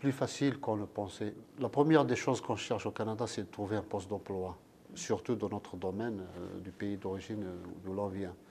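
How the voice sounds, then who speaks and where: A man talks at a moderate pace with a dark, mellow tone. His fairly low pitch shows ordinary variation. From Algeria. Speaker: chemist, water specialist. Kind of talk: interview.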